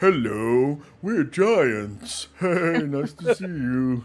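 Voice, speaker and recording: A man puts on a character voice, pitched fairly high. He speaks at a very slow pace. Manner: slow, heavy, friendly greeting.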